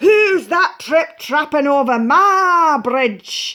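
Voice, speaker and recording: A bellowing put-on character voice at a very slow pace. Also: woman, high pitch for a woman. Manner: roaring.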